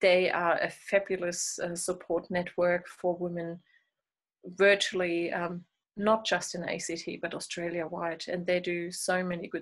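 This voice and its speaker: A woman speaks in a German accent. Her pitch is medium and her pace fairly slow. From Germany. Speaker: midwife and lactation consultant. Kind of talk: interview.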